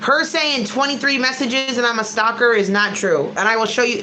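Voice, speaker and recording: An American accent comes through in an animated tone with lively intonation at a fairly quick pace. Audible room echo and noticeable background noise surround the voice. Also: woman. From Connecticut, US. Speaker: YouTuber. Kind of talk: livestream reaction chat.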